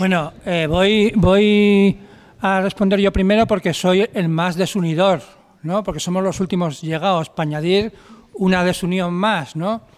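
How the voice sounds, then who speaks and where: At a fairly slow pace, a man speaks with a high pitch and fairly even intonation. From Andalusia, Cádiz; Andalusia, Spain. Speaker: new left party representative; panelist. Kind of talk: political debate speech. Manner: halting. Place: hall.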